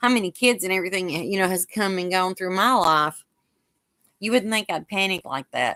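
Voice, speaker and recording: A bright, sharp, animated tone with ordinary pitch variation at a moderate pace, in a very clean recording with a silent background. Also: woman, medium pitch for a woman. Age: 50s. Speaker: craft channel host. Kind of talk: casual live-stream chat. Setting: live stream.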